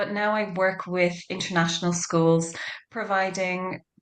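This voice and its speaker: With audible room echo, a woman talks with fairly even intonation in an Irish accent. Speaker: education consultant. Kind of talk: panel discussion.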